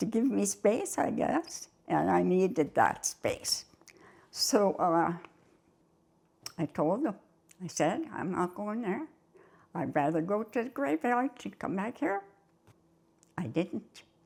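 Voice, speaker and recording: A woman's medium-pitched voice with very wide pitch swings, vocal fry, a very slow pace, and long, frequent pauses. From Canada. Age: 80s+. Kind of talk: interview answer.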